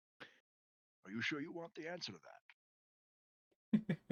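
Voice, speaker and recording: In a put-on character voice at a middle pitch, someone speaks at a fairly slow pace. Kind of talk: cultured, refined. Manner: calm, knowing.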